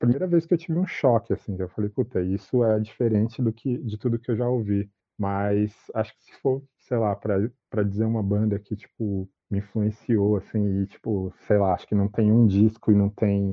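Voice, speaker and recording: A man with an ordinary speaking voice, a fairly low pitch, ordinary pitch variation, a moderate pace and big swings in loudness. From Brazil, São Paulo metro area (Itaquaquecetuba). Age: 30s. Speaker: fashion designer and artist. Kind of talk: interview.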